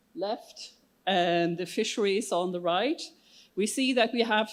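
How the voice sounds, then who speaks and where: A woman with an unremarkable speaking voice speaks at a medium pitch and a moderate pace. The recording is very clean, with a silent background. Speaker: session chair at conference. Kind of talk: conference presentation.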